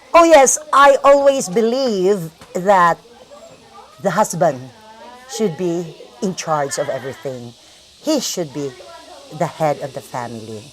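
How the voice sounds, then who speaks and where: Loudness rises and falls sharply, pitch swings very widely, long pauses come often, the pace is fairly slow, and background noise is noticeable. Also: woman, medium pitch for a woman. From Philippines. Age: 60s. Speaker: interviewee, retired teacher. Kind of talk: interview.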